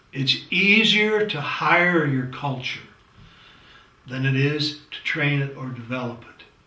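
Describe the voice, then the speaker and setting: Noticeable background noise and audible room echo surround a man's speech. His fairly high voice has lively intonation and moves at a fairly slow pace. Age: 70s. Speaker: leadership lecturer. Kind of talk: lecture. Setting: studio, green screen. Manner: conversational, with hesitations.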